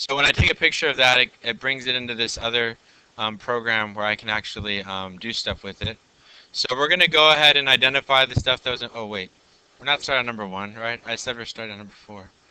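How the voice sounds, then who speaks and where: Loud and very fast, a man talks in a bright, sharp tone at a medium pitch with ordinary pitch variation. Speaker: physics teacher. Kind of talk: classroom lecture. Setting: classroom. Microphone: mic close, loud recording.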